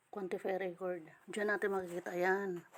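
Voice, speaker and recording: A woman's medium-pitched voice with a strong Eastern Visayan accent and a monotone, flat intonation. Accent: Waray accent, strong. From Samar, Eastern Visayas, Philippines. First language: Waray (speaking Tagalog). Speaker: crypto earning vlogger. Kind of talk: screen-recording tutorial. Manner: disorganized, halting speech.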